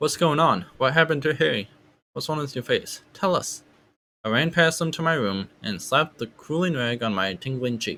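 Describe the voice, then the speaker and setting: Bright and sharp in tone, a man's fairly high voice carries vocal fry and lively intonation at a moderate pace. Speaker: audiobook reader. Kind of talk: audiobook reading.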